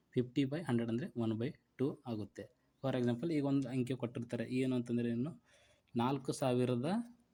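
Fairly even intonation carries a man's dark, mellow tone. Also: medium pitch for a man. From North Karnataka. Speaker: exam coaching teacher. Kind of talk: lecture.

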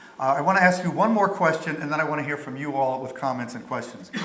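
This man talks at a very fast pace with ordinary pitch variation. Room echo is audible. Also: big swings in loudness. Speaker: moderator; panel moderator. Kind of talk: panel discussion. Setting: stage with audience. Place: hall.

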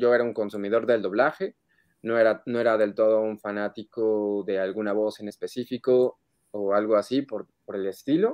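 Over a quiet background, a man speaks at a medium pitch with fairly even intonation. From Mexico City. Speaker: voice actor. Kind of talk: interview. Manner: halting. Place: home room. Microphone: video call.

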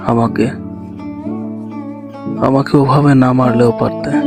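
Music plays in the background as a man talks. His pitch is medium and his intonation fairly even. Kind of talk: sad poetry reading.

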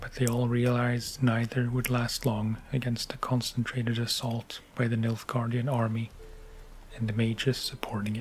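A soft-spoken man at a moderate pace, with monotone, flat intonation and light background noise. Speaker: ASMR narrator. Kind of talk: book reading. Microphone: studio mic.

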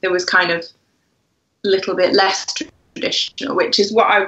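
With an English accent, a woman speaks at a moderate pace in a flat, monotone way. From England. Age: 20s. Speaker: wedding blogger. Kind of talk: casual chat. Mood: relaxed, friendly. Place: home room. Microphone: video call.

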